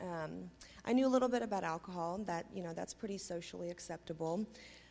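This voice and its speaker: Speaking in a normal speaking voice with an American accent, a woman has a fairly low pitch and ordinary pitch variation. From US, Tulsa (adopted from Russia at six). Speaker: recovering addict. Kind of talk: personal testimony. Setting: church stage with congregation.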